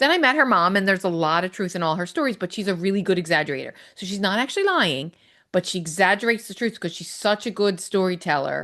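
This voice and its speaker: A woman speaks at a very fast pace with lively intonation and a medium pitch. The background is quiet. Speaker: podcast co-host. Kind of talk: casual chat.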